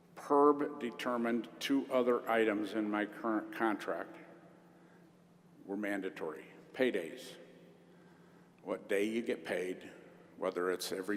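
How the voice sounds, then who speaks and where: Speaking at a fairly slow pace with long, frequent pauses, a man with a fairly low pitch and a Midwestern US accent shows ordinary pitch variation. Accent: US Midwest. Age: 60s. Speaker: union leader. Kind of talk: convention speech. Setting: stage with audience.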